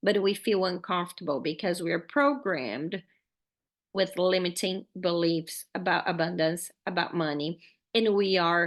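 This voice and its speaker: At a fairly slow pace, a woman with a Brazilian Portuguese accent speaks in a fairly low pitch. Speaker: podcast host, faith-based money coach. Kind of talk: podcast monologue, motivational teaching. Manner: animated, casual.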